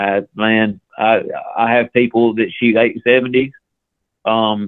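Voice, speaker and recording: Speaking in a Southern US accent, a man talks at a medium pitch. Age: 40s. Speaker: ammunition company representative. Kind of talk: casual interview. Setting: phone call.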